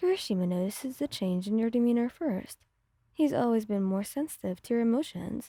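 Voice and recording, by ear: Against a quiet background, someone reads aloud in a natural voice, the intonation lively throughout.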